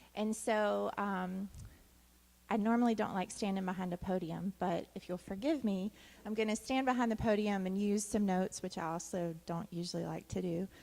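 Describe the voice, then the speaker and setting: Soft-spoken and dark, mellow in tone, this voice keeps a moderate pace and fairly even intonation. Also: woman, medium pitch for a woman. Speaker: doctoral student and clinical social worker. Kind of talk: conference talk. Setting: conference stage at podium.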